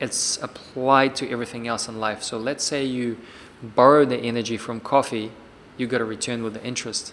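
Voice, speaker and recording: The speaker is a man with a medium pitch. He talks at a fairly quick pace in a monotone, flat intonation. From Siberia, Russia (Irkutsk). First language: Russian. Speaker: personal trainer. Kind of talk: interview.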